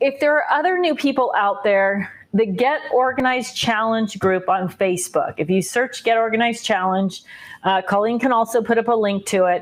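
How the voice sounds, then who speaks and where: A woman with a fairly high pitch speaks with lively intonation and very even loudness. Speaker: craft livestream host. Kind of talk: casual live chat. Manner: fast; animated.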